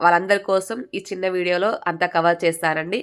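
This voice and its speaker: A woman speaks in a plain, everyday voice, at a medium pitch with fairly even intonation. The recording is very clean, with a silent background. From Telangana, Bhadradri Kothagudem district. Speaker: embroidery teacher and channel host. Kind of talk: tutorial.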